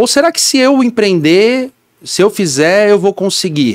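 In a quiet setting, a man's voice swings very widely in pitch. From São Paulo city, Brazil; Brazil. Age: 30s. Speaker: business owner; podcast guest. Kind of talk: interview. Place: studio. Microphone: studio mic.

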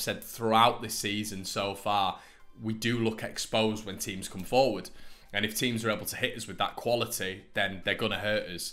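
Faint music plays in the background while a man with a fairly low pitch speaks at a moderate pace in a monotone, flat intonation. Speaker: football fan vlogger. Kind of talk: casual vlog commentary. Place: home room. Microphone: phone near.

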